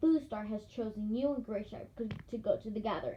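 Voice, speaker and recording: A woman's put-on character voice, fairly high, growling and hissing at a fairly quick pace. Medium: read story. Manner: growling, hissing.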